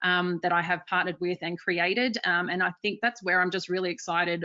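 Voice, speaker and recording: Fairly low in pitch, a woman with an Australian accent talks at a fairly quick pace with fairly even intonation. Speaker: marketing executive. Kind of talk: webinar presentation.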